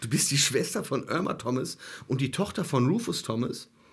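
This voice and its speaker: A man speaks with a fairly high, somewhat breathy voice and very wide pitch swings. The recording is very clean, with a silent background. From Germany. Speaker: soul festival promoter. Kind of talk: casual chat. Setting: studio.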